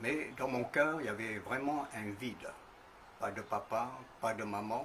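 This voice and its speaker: Long, frequent pauses break up a man's speech, which moves at a fairly slow pace with a medium pitch. Noticeable background noise and audible room echo are present. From New Caledonia, north. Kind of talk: testimony. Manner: halting, frequent hesitations.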